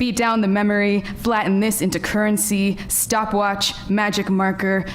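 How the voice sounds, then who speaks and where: Moderate-paced speech from a woman with an American accent, with noticeable background noise and audible room echo. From New York. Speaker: MFA writing graduate, poet. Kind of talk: poetry reading. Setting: lecture hall with audience. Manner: loud.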